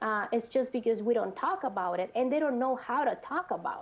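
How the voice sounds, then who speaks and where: The speaker has a Mexican accent and talks at a fairly quick pace. Pitch varies in an ordinary way. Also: woman. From Mexico, Monterrey. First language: Spanish. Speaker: mental health clinician. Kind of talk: panel discussion. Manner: halting.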